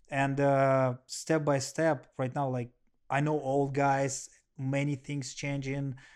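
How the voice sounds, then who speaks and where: The pace is very slow. The background is quiet. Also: man, fairly high pitch for a man. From Russia. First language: Russian. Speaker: professional kickboxer and MMA fighter. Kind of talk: casual interview. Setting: at the host's home. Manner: animated.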